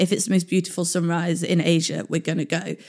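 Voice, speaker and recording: A woman with a London accent, fairly low in pitch and at a fairly quick pace, on a very clean recording with a silent background. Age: 20s. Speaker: wheelchair user and traveller. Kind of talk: casual interview.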